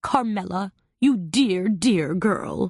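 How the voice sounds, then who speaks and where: Shaky and growling, a put-on character voice that sounds female sits at medium pitch for a woman. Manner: warm, emotional.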